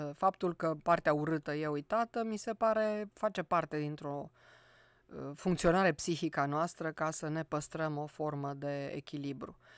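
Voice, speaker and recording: Against a quiet background with a dry, echo-free sound, a woman speaks fairly slowly in a very deep, low pitch with ordinary pitch variation. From Romania, Cluj; Romania. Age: 60s. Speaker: poet and university professor; poet, university professor. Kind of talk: radio interview. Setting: studio. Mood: calm reflective. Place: studio. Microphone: studio mic.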